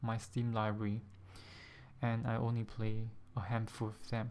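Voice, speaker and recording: A soft-spoken man talks at a moderate pace in a medium pitch. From Singapore. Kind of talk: casual vlog talk to camera.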